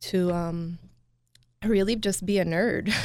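In a normal speaking voice, a woman talks at medium pitch with an American accent and fairly even intonation. The recording is very clean, with a silent background. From Qatar, raised US then Kuwait. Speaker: dentist and practice owner. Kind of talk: radio interview. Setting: studio.

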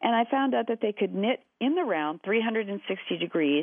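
A woman in an American accent, with an unremarkable speaking voice, talks at a fairly slow pace and medium pitch with lively intonation. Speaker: shapewear company founder, former actor and psychotherapist. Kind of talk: interview. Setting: phone call.

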